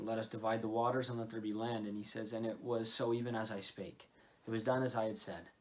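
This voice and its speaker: The man's speech runs at a fairly quick pace, with light background noise behind it. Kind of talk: sermon. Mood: earnest, calm. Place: home room. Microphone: phone near.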